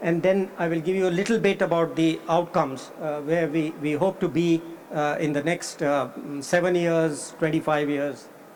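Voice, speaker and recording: A high-pitched male voice at a moderate tempo, ordinary in pitch variation, over noticeable background noise. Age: 70s. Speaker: economist. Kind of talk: conference keynote speech. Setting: conference hall with audience. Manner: halting, many fillers.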